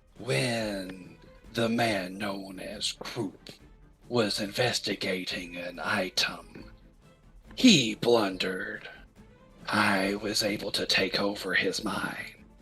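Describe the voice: Faint music plays behind a low-pitched, put-on character voice that moves at a very slow pace.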